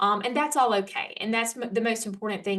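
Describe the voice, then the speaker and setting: The voice belongs to a woman. She speaks with an Alabama accent. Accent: Southern US (Alabama). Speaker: homeschool educator and small publisher. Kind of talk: workshop talk. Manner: casual, with filler words; occasional stumbles.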